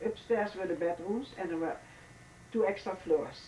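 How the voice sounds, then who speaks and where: Against noticeable background noise, a woman speaks with a Dutch accent and ordinary pitch variation. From Netherlands, The Hague. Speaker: oral history interviewee. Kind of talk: oral history interview. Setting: hotel. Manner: halting.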